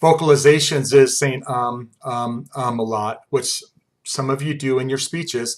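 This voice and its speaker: Using a normal speaking voice, a man talks at a medium pitch with fairly even intonation. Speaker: college instructor. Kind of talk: lecture.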